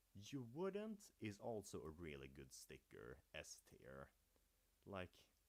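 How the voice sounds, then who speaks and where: A man with a Swedish accent speaks at a very slow pace. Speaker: gaming youtuber. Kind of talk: livestream commentary. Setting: livestream. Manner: casual.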